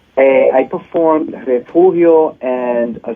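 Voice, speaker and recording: Background noise is noticeable here. A man's voice comes through it. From New York City. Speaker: salsa singer. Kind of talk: interview. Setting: phone call.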